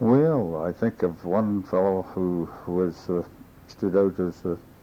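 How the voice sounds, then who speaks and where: A man's very deep, low voice in a Canadian Prairie accent, at a very slow pace. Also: ordinary pitch variation. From Saskatchewan, Canada. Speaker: former mayor. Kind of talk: oral history interview answer.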